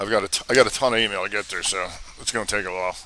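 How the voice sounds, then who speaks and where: A man's voice with a bright, sharp tone. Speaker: trading educator. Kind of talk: live Q&A webinar. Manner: casual; fast.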